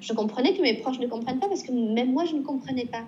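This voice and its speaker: Her intonation is lively. This woman's voice is high-pitched. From southwestern France, Pau. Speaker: painter and illustrator. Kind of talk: casual interview. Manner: hesitant with repetitions.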